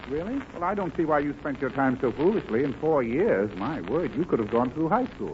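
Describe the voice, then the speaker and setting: This fairly high-pitched man talks fairly quickly, with hardly any pauses and very wide pitch swings. Noticeable background noise sits behind him. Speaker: guest star actor. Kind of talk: radio comedy sketch. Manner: prim, fussy, flustered, comedic.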